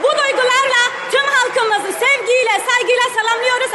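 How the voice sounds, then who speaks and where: A woman's extremely high-pitched voice is raised and projected, with fairly even intonation. Crowd noise sits in the background, and room echo is audible. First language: Kurdish (speaking Turkish). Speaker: member of parliament. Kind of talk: parliamentary speech. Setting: parliament chamber. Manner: emphatic.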